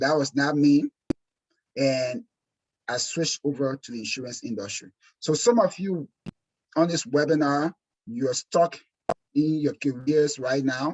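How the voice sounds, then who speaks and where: With long, frequent pauses and ordinary pitch variation, a man with an African accent speaks at a fairly slow pace in a fairly high pitch. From Liberia, West Africa. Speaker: insurance exam prep instructor. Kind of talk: webinar presentation. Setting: webinar. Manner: animated.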